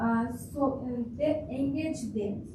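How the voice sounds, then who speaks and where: A woman is heard with audible room echo. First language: not English. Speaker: audience member. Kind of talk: audience question. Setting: conference breakout room with audience. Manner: halting.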